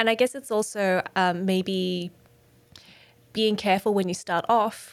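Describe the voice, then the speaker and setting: Speaking at a moderate pace, a woman with an Australian accent keeps her medium pitch on a fairly even line. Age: 30s. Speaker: podcast host. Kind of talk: interview. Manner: hesitant.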